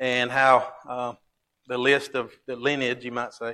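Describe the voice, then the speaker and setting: A man speaks with a Southern US accent. His tone is bright and sharp. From Alabama. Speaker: Bible class teacher. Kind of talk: Bible class lesson. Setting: church.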